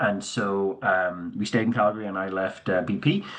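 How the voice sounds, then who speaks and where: Using fairly even intonation, a man with a Northern Irish accent speaks at a moderate pace in a fairly low pitch. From Northern Ireland, Belfast. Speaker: company CEO. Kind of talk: conference presentation. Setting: virtual conference. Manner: casual with many fillers.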